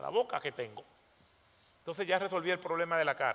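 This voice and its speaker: Over noticeable background noise, a man with a Dominican accent speaks in a high voice with an animated tone. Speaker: pastor. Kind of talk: sermon.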